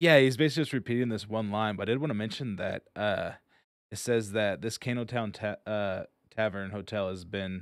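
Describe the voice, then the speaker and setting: In a very clean recording with a silent background, a man speaks fairly quickly at a fairly low pitch with ordinary pitch variation. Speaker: podcast host. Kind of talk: casual chat. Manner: fast.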